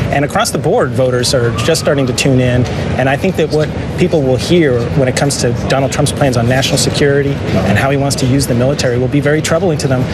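Amid loud background noise, a man talks at a very fast pace with ordinary pitch variation. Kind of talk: interview answer. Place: street. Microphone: lapel.

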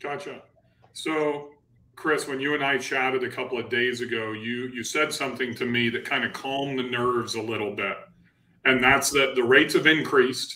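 This man talks at a moderate pace with a bright, sharp tone. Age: 40s. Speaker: real estate investor and channel host. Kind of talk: live-streamed panel discussion. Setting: live stream with online audience. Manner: animated. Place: home room. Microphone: webcam.

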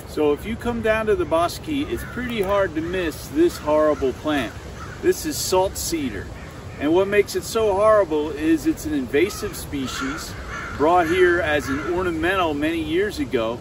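Pitched high, a man talks at a moderate pace. The sound is dry with no echo, and there is noticeable background noise. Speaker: nature educator. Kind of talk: tutorial. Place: forest.

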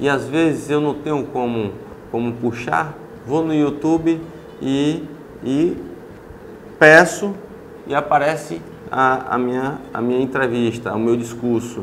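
Light background noise sits behind a man speaking at a fairly slow pace. He leaves long, frequent pauses, and his pitch varies in an ordinary way. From Brazil, Ilhéus, Bahia; Bahia, Brazil. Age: 30s. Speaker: city councillor. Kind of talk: interview. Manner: halting. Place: office. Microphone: lapel.

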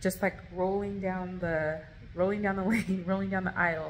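Over light background noise, a normal speaking voice moves at a moderate pace with fairly even intonation. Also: woman. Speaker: vlogger. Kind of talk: casual vlog storytime. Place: home room. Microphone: phone near.

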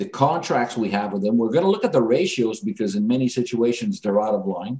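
A man speaks with a dark, mellow tone. His pitch swings very widely. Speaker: insolvency trustee. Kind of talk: radio interview.

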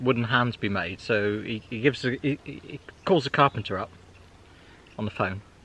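At a moderate pace, a man talks at a medium pitch in a bright, sharp tone.

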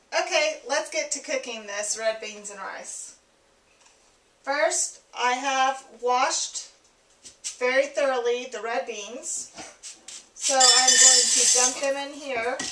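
A woman's raised, projected voice at a very slow pace, with long, frequent pauses, ordinary pitch variation, audible room echo and light background noise. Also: big swings in loudness. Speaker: home cook host. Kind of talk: tutorial. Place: kitchen. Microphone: camera far.

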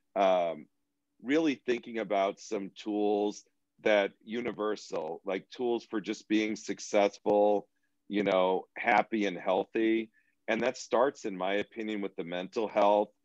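A man's fairly low voice with an American accent, a normal speaking voice at a fairly slow pace with fairly even intonation, dry with no echo and a quiet background. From Boston. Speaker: educator and therapist; educator. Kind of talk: interview conversation. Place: home room. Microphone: video call.

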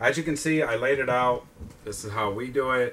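A man with an unremarkable speaking voice talks with fairly even intonation. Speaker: online clothing reseller. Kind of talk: casual tutorial chat. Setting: at home.

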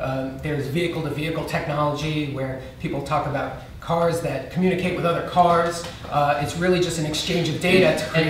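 With hardly any pauses, a man talks at a fairly quick pace in a monotone, flat intonation, with light background noise and audible room echo. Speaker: guest. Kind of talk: interview answer. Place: stage.

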